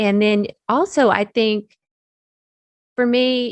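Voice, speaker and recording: The sound is dry and close, with no echo. A woman speaks with an American accent. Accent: Southern US accent, comes out when excited. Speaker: technical curriculum developer. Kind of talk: interview conversation. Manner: speeds up when excited.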